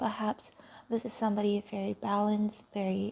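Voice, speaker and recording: Soft-spoken and somewhat breathy, a woman talks in a fairly high pitch with a dark, mellow tone and monotone, flat intonation. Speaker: tarot reader. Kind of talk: tarot reading.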